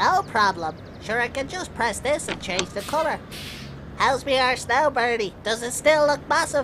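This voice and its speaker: A female-sounding, put-on character voice speaks at a high pitch and moderate pace. Clear background noise runs behind it. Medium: comedy sketch. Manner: chatty, crude, mock-genteel.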